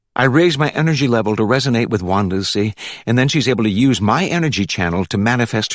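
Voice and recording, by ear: Intonation stays lively as the text is read aloud in a natural voice.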